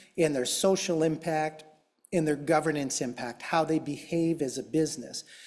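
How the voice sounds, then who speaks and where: The speaker talks in a Chicago accent at a moderate pace. Pitch variation is ordinary. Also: man. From US Midwest, Chicago. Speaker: tech company executive, conference panelist. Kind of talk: conference panel presentation.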